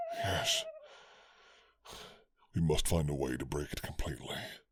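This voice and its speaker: A man puts on a character voice that is gravelly with a very deep, low pitch. He keeps a moderate pace. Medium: read story.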